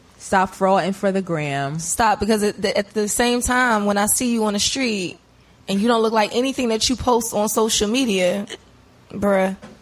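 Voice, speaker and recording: A woman with an unremarkable speaking voice talks at a moderate pace and medium pitch. Her loudness stays very even, with ordinary pitch variation. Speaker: interview guest, social media and web business owner. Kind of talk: casual podcast interview.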